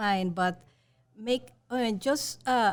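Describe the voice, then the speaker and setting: A woman with a Spanish accent, ordinary pitch variation, and a very clean recording over a silent background. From Mexico. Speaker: journalism professor. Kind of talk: panel discussion.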